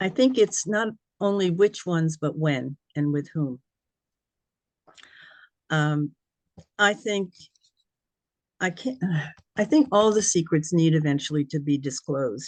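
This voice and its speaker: Lively intonation at a fairly slow pace, broken by long, frequent pauses, in a dry, close sound with no echo. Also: woman, fairly low pitch for a woman. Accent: American. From New York City. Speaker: retired psychology professor, genealogist. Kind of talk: answering audience questions.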